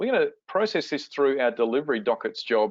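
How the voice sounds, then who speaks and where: A man with an Australian accent, fairly high-pitched, at a moderate pace. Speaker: software product presenter. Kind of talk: webinar product demo.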